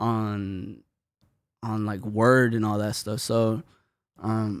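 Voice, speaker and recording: A man with a Spanish accent and a fairly low pitch talks at a very slow pace in a monotone, flat manner. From north side of Atlanta, Gwinnett County. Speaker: rapper. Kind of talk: casual interview.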